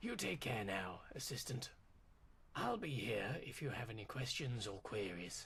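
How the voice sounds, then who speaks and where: A man does a put-on character voice, raspy and at medium pitch. He moves at a moderate pace with ordinary pitch variation. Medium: video game. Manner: brisk, confident.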